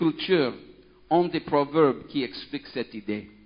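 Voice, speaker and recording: A man speaks with a non-native accent at a fairly slow pace. His intonation is lively. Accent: foreign accent in French. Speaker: pastor, children's ministry worker. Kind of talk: sermon. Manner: halting, many hesitations.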